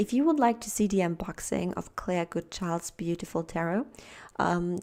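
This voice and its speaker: Soft-spoken delivery in a dark, mellow tone at a moderate pace, on a very clean recording with a silent background. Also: woman. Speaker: tarot reader. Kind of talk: pick-a-card tarot reading.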